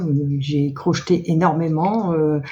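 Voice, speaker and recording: Speaking at a very slow pace, a woman has a very deep, low pitch, a dark, mellow tone, ordinary pitch variation and a somewhat breathy quality. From northern France (Nord-Pas-de-Calais). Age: 60s. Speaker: knitting and sewing vlogger. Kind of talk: casual chat. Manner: halting, many hesitations.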